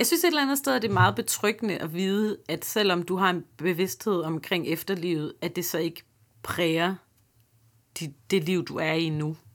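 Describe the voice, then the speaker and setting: On a very clean recording with a silent background, a woman with an unremarkable speaking voice talks at a moderate pace and fairly low pitch, her intonation lively. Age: 30s. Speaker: comedian and podcast host. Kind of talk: interview conversation.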